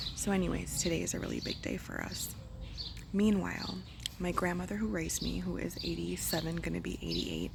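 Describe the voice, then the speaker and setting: A woman speaks quietly. Audible room echo and noticeable background noise come through. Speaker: homesteader vlogger. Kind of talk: casual vlog talk. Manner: hesitant, many fillers. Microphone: poor audio.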